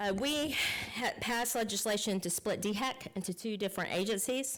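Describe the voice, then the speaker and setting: In a Southern US accent, a woman speaks at a moderate pace with ordinary pitch variation on a very clean recording with a silent background. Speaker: state legislator. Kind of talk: public meeting report. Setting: county council meeting.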